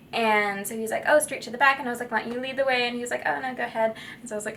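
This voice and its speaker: A bright, sharp tone with ordinary pitch variation. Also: woman. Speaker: vlogger. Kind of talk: casual vlog storytelling. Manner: strained projection; chatty, filler-heavy.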